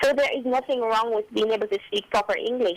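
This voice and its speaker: Music plays behind a woman speaking at a very fast pace with a Jamaican accent. Her fairly high voice shows ordinary pitch variation. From rural Jamaica. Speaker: recent high school graduate. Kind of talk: radio interview.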